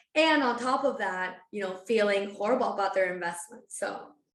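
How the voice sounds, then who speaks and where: With a Spanish accent, a woman of medium pitch speaks at a moderate pace with ordinary pitch variation. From Spain (Barcelona). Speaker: financial advisor. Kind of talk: podcast interview.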